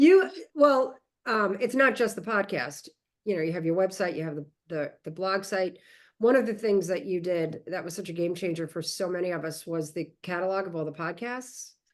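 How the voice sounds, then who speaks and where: Over a quiet background, a woman speaks at a moderate pace in a medium pitch with lively intonation. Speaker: podcast host and educator. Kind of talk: casual chat.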